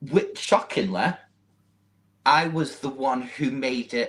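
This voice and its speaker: This man has a Manchester accent and a lively, varied intonation. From northern England, Manchester. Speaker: social media model. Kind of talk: interview.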